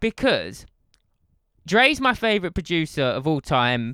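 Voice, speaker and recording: In a very clean recording with a silent background, a man with a high pitch and a bright, sharp tone talks at a fairly slow pace, his pitch swinging very widely. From Essex, England. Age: 20s. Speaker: podcast co-host, music producer. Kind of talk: casual chat.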